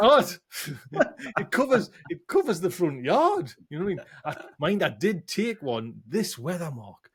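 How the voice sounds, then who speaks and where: In a northern English accent, a man with a high pitch talks at a moderate pace, his voice making very wide pitch swings and big swings in loudness, with long, frequent pauses. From northern England. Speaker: podcast host. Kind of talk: casual chat. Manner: animated.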